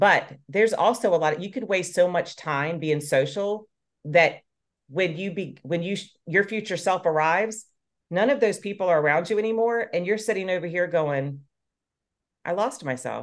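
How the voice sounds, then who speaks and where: Over a quiet background, a woman with a normal speaking voice talks at a moderate pace, her fairly low pitch moving with ordinary variation. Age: 40s. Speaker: fitness coach. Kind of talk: casual chat.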